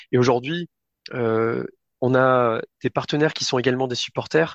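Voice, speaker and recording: A man at a medium pitch and moderate pace, with fairly even intonation, in a dry, close sound with no echo against a quiet background. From France, Limoges. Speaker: football club communications director. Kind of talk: interview. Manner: hesitant, many fillers.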